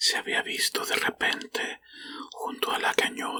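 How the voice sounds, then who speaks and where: A man whispers at a fairly slow pace, the sound dry and close with no echo. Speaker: ASMR reader and channel host. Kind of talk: whispered short-story reading for sleep and relaxation. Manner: whispered, soft.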